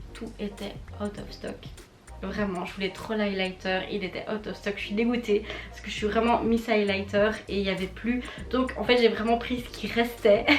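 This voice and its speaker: A woman's medium-pitched, monotone, flat delivery at a moderate pace, with big swings in loudness, audible room echo and noticeable background noise. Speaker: beauty youtuber. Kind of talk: casual product review vlog.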